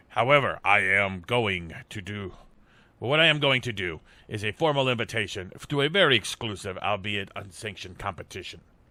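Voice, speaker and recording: In a very clean recording with a silent background, a man puts on a character voice with a fairly low pitch, lively intonation and a moderate pace. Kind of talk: theatrical villain speech. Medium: game stream. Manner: pompous, condescending.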